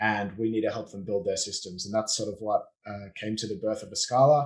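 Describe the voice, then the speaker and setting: A man with an Australian accent speaks at a fairly quick pace, with ordinary pitch variation and big swings in loudness. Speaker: business owner, offshoring and systems consultant. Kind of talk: podcast interview.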